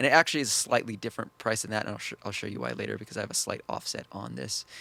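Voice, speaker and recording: A man's fairly low voice, very fast, with very wide pitch swings and vocal fry. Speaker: trading strategy youtuber. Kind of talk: screen-share tutorial. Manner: halting, many fillers and restarts.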